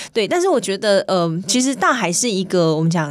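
It is an unremarkable speaking voice. The pace is fairly quick. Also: woman. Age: 20s. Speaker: swimming coach and open-water swimmer. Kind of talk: radio interview.

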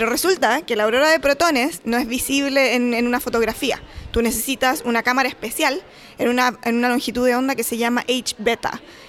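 At a fairly quick pace, a woman's high voice holds a very even loudness and fairly even intonation. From Chile. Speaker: postdoctoral researcher. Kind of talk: interview. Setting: conference.

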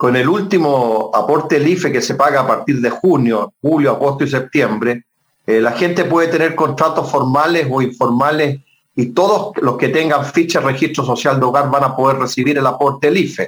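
With an unremarkable speaking voice, a man talks at a moderate pace in a fairly high pitch, his loudness very even and his pitch variation ordinary. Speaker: politician. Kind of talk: interview.

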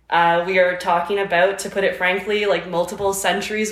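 Audible room echo carries a woman's medium-pitched voice in a Canadian accent, with fairly even intonation. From Canada, near Akwesasne (Ontario/Quebec border). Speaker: podcast co-host. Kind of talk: casual chat.

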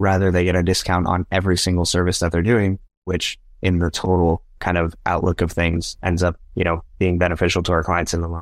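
A man with a very deep, low pitch at a fairly quick pace. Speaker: real estate broker and motivational speaker. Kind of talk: casual interview. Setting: remote call. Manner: energetic.

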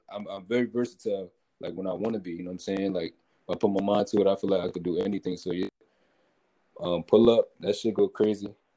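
A man in an American accent, very fast and monotone, with flat intonation, a dark, mellow tone and fairly low pitch. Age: young. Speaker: rapper. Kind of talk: casual chat.

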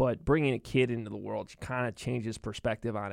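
In a very clean recording with a silent background and a dry, close sound without echo, a man with a normal speaking voice talks at a moderate pace, his medium pitch carrying fairly even intonation. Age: 30s. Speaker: sports reporter. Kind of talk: casual interview. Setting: studio.

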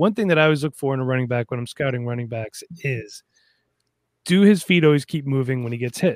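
The speaker has a normal speaking voice. The pace is fairly quick, with ordinary pitch variation. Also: man, dry, close sound with no echo. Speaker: fantasy football podcaster. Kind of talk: casual chat. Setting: video call.

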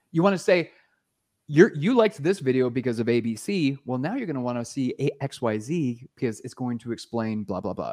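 With a plain, everyday voice, a man of medium pitch speaks at a fairly quick pace with lively intonation, recorded with a dry, close sound with no echo over a quiet background. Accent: Canadian. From Canada. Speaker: YouTube marketing entrepreneur. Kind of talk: podcast interview.

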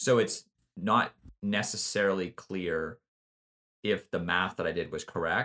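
On a very clean recording with a silent background, a man with a fairly low pitch and a bright, sharp tone talks at a fairly slow pace, with fairly even intonation and long, frequent pauses. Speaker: podcast co-host. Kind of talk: casual chat.

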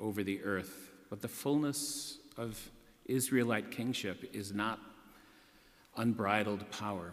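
With audible room echo around him, a man speaks in an American accent at a fairly slow pace. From US Northeast, western Massachusetts. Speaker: priest. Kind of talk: sermon.

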